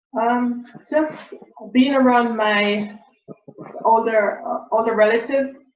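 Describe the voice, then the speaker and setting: Speaking at a fairly slow pace in a non-native accent, a woman with a fairly high pitch and ordinary pitch variation comes through with audible room echo. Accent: foreign. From abroad, immigrant. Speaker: session participant. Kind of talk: personal sharing. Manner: hesitant, many fillers.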